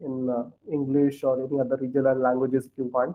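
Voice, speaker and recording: Speaking at a fairly quick pace with an Indian accent, a man keeps a medium pitch and a monotone, flat intonation. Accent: Indian English (Odia). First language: Odia. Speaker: scripture study teacher. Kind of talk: scripture study class.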